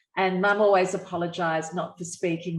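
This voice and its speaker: A woman speaks with an Australian accent in a fairly low pitch. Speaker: encephalitis survivor, media professional. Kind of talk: online panel discussion.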